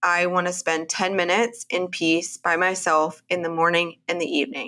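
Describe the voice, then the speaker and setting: A woman's bright, sharp, medium-pitched voice with a Texan accent at a moderate pace, in a very clean recording with a silent background. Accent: Texan American. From Texas, Houston area. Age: 40s. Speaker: women's health practitioner. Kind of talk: interview.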